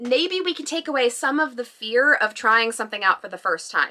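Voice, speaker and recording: Lively intonation carries a tone that is bright and sharp. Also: woman. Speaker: craft YouTuber. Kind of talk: casual vlog talk to camera. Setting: home, bedroom with bookshelf background. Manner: animated.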